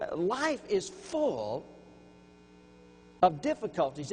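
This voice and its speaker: In a Louisiana accent, a man speaks with very wide pitch swings. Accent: Louisiana Southern US. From Louisiana, Baton Rouge. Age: 60s. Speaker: preacher. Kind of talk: sermon.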